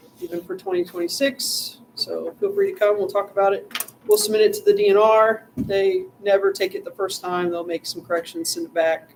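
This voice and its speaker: Over noticeable background noise, the voice moves at a fairly quick pace with hardly any pauses. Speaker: parks board representative. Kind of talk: meeting report. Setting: town council meeting.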